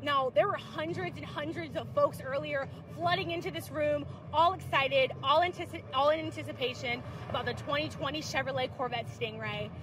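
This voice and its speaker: A woman at a moderate pace, dry sound with no echo, noticeable background noise behind her. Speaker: livestream presenter. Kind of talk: event interviews.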